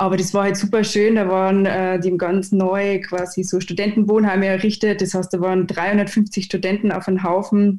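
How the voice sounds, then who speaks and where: A woman's medium-pitched, dark and mellow voice, flat and monotone, at a moderate pace with very even loudness and hardly any pauses. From Austria, Upper Austria (Innkreis village). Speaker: 3D motion designer. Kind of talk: casual chat.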